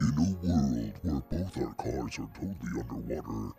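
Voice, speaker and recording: A man's put-on character voice, very deep and low in pitch, at a moderate pace over clear music in the background. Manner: dramatic, epic.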